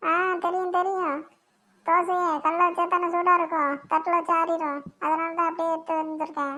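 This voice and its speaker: A woman puts on a whiny character voice at an extremely high pitch. She delivers it at a moderate pace with monotone, flat intonation. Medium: cartoon. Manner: drawn-out, whining speech.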